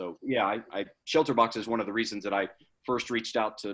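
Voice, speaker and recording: Very fast delivery in a Southern US accent, with fairly even intonation. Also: man. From US South, Georgia. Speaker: charity leader, guest speaker. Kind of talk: Q&A at a club meeting.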